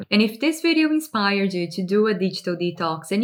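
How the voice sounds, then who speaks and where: Using a non-native accent, a woman speaks at a fairly quick pace and medium pitch with very wide pitch swings. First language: not English. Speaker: lifestyle and personal growth YouTuber. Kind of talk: direct-to-camera advice talk.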